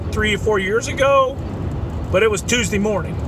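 Dry, echo-free sound of a man speaking amid noticeable background noise. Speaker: vlogger. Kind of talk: casual vlog chat. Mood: earnest, mildly exasperated. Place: car. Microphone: phone near.

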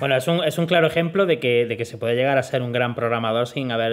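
This man has an ordinary speaking voice at medium pitch with ordinary pitch variation. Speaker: interviewer and programming teacher. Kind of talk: interview.

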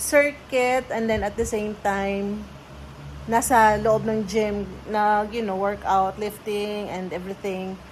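A woman's somewhat breathy, medium-pitched voice at a very slow pace, with fairly even intonation. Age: 30s. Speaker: vlogger. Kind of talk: casual vlog chat. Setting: in a car.

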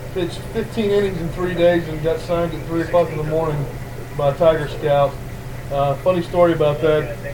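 With a Southern US accent, a man talks at a fairly quick pace and fairly high pitch with fairly even intonation, amid audible room echo and noticeable background noise. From US South, Mobile, Alabama. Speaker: baseball pitching coach. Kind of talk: interview.

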